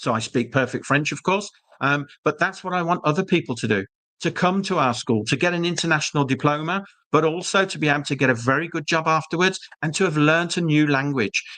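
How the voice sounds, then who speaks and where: Speaking at a very fast pace, a man with a slight British accent has a fairly high pitch, a bright, sharp tone and ordinary pitch variation. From UK. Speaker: school representative. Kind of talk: webinar presentation. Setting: live online webinar.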